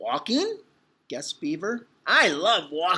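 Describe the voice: The speech is plain reading aloud. The background is quiet.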